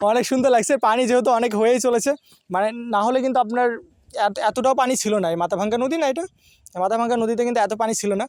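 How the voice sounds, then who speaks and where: Dry and close with no echo, the recording captures a man with an extremely high voice and ordinary pitch variation. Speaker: vlogger. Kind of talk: travel vlog narration. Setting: outdoors.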